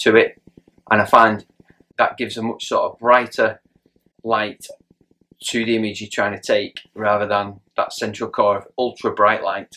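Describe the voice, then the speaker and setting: A man speaks at a moderate pace. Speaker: presenter. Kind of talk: tutorial. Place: shop.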